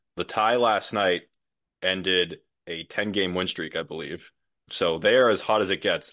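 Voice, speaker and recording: Fairly low in pitch, a man talks in an ordinary speaking voice. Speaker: hockey writer. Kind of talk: casual sports podcast discussion.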